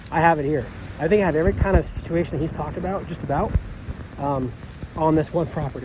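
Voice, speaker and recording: The speech comes with long, frequent pauses, audible room echo and noticeable background noise. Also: man, fairly high pitch for a man, ordinary pitch variation. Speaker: farmer. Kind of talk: casual walkthrough vlog. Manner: fast.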